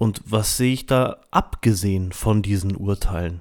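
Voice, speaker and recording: On a very clean recording with a silent background, the voice keeps a calm, gentle tone and fairly even intonation. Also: man. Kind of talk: personal reflection and guided meditation, spoken directly to listeners. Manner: calm, reflective, gentle, with hesitant fillers.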